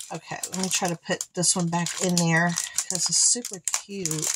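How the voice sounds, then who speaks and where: With noticeable background noise behind her, a woman talks at a moderate pace. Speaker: craft unboxing vlogger. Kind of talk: casual unboxing commentary.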